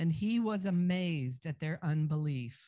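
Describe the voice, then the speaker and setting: Somewhat breathy, a woman talks with lively intonation. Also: very clean recording, silent background. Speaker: scripture reader. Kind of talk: reading aloud.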